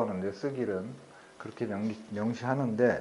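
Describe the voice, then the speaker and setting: A man speaks with lively intonation. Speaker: company CEO presenting at a meetup. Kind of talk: presentation. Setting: meeting room with audience. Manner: trying to speak louder.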